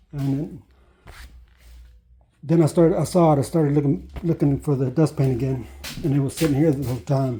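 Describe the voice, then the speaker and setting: Fairly high-pitched male voice, dark and mellow in tone, somewhat breathy, at a moderate pace. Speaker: woodworker. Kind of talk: casual talk to camera. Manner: rambling, hesitant.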